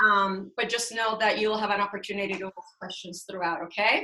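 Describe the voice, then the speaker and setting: A woman at medium pitch and a moderate pace has a plain, everyday voice. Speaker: real estate broker. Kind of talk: webinar presentation. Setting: video call.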